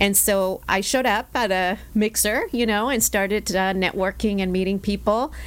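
A woman's unremarkable speaking voice at a medium pitch, with fairly even intonation, a moderate pace, hardly any pauses and very even loudness. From Mexicali, Mexico; moved at 11 to El Centro, California. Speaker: bank executive and chamber board chair. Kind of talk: interview.

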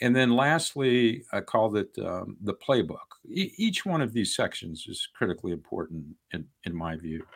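On a very clean recording with a silent background, a man with vocal fry speaks at a moderate pace in a medium pitch, making very wide pitch swings. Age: 60s. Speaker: congressional candidate. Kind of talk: interview. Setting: in person, same house as host.

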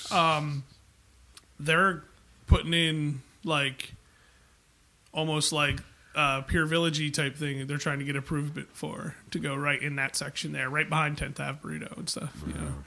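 A man's fairly high, bright, sharp voice, monotone and flat at a moderate pace, broken by long, frequent pauses, in a very clean recording with a silent background. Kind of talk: casual chat.

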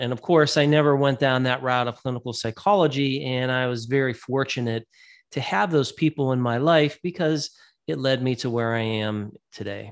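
This man has an unremarkable speaking voice, medium in pitch, with ordinary pitch variation and a moderate pace. The recording is very clean, with a silent background. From Ohio, Youngstown area. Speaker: special education professor. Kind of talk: interview.

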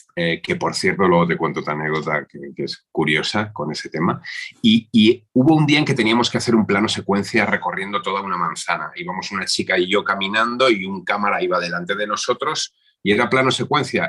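Bright and sharp in tone, a man talks at a fairly quick pace with lively intonation. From Valencia, Spain. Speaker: politician. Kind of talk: interview.

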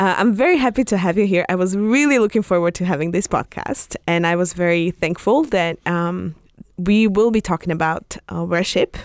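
On a very clean recording with a silent background and a dry, close sound with no echo, a woman with a Slovak accent speaks at a medium pitch and moderate pace with lively intonation. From Slovakia, Bratislava. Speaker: podcast host. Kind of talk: podcast interview.

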